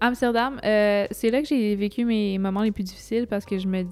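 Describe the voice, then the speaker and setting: A woman's normal speaking voice at a fairly quick pace, with fairly even intonation. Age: 20s. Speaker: solo traveler and makeup artist. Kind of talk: casual interview.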